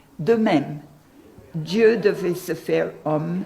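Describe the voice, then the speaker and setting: A woman's fairly low-pitched voice at a very slow pace, with ordinary pitch variation. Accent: strong Irish. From Ireland. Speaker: volunteer storyteller, retired social worker. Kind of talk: interview with story reading.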